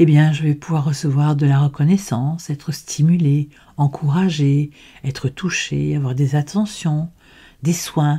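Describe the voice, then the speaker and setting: Speaking at a fairly slow pace, a woman has a very deep, low pitch, a dark, mellow tone and a somewhat breathy sound. The recording is very clean, with a silent background. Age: 70s. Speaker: personal development podcaster. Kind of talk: educational monologue. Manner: halting.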